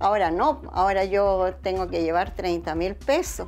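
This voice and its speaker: A woman at a fairly slow pace, with music in the background. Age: 70s. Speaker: retiree. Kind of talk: interview.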